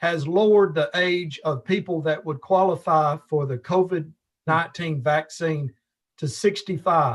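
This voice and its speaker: Speaking in a Tennessee accent, a man talks fairly slowly with a fairly high pitch. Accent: Southern US (Tennessee). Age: 60s. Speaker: alderman. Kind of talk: council meeting question.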